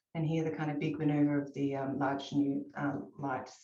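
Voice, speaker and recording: In an Australian accent, a woman speaks at a moderate pace with a very deep, low pitch and fairly even intonation. Audible room echo surrounds her voice. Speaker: architect. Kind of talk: presentation to awards jury. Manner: halting.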